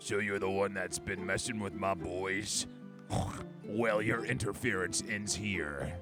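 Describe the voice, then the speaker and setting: A man's put-on character voice, fairly low in pitch and at a fairly slow pace, over loud music in the background. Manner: menacing, boastful.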